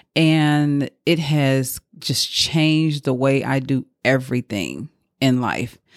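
The speaker has a Southern US accent and talks at a very slow pace. The sound is dry and close, with no echo. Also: woman. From Mississippi. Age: 40s. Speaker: podcast host, boudoir photographer. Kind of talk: casual monologue. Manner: rambling.

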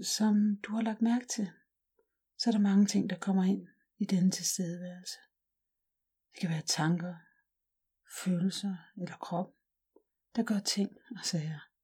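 The tone is gentle and calm. Delivery is at a fairly slow pace, broken by long, frequent pauses. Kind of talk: guided meditation. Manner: slow, calm and soothing, with long pauses; soft-spoken, gentle and unhurried.

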